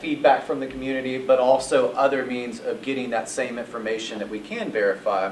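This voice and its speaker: A man with a Southern US accent speaks over noticeable background noise. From US South (northeast Mississippi). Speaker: retail development consultant. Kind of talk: presentation to audience.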